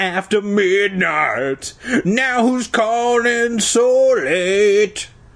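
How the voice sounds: In a put-on character voice, a man speaks very slowly at a high pitch, with a fairly bright tone and lively intonation.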